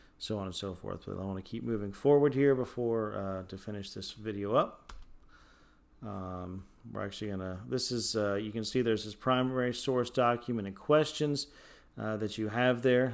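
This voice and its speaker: With a plain, everyday voice, a man talks at a moderate pace in a fairly low pitch and ordinary pitch variation. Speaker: high school history teacher. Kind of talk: recorded lecture. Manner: many fillers (uh, um).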